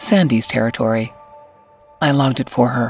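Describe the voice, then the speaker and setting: Music sits in the background as a woman talks at a fairly slow pace. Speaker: voice actor. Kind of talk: audiobook fiction narration.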